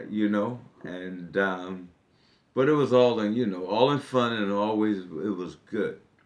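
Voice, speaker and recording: A man with an American accent and a fairly low pitch speaks at a fairly slow pace with ordinary pitch variation, his voice carrying audible room echo. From US Northeast, Newark, New Jersey. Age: 60s. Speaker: political candidate. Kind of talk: interview. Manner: hesitant, many fillers.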